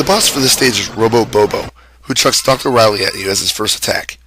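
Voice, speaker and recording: Music plays behind a man who talks fairly quickly. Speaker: game reviewer. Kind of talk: video game review narration. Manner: casual, joking.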